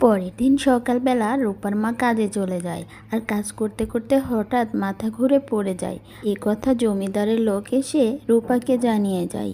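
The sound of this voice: At a fairly slow pace with few pauses, a woman speaks in a fairly high voice with a dark, mellow tone and ordinary pitch variation.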